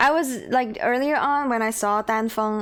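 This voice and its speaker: High-pitched woman with a Chinese accent, a fairly slow pace, and music in the background. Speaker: video game streamer. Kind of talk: casual chat. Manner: animated.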